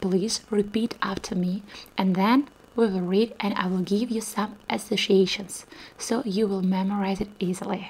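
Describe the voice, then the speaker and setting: Soft-spoken, a woman talks at a fairly slow pace with fairly even intonation. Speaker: Russian language teacher. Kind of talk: ASMR language lesson. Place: home room. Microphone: studio mic.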